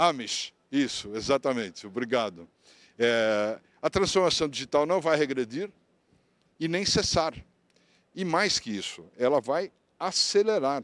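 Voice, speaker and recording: A man speaks at a fairly slow pace, his pitch swinging very widely between long, frequent pauses. The sound is dry with no echo, over a quiet background. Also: fairly high pitch for a man. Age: 70s. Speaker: technology management lecturer. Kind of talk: lecture. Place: hall.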